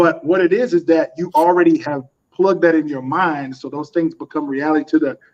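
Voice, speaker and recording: This man speaks with a Southern US accent at a fairly quick pace. His high pitch stays fairly even in intonation. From US South, North Carolina. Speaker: custom suit designer and business owner. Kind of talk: podcast interview.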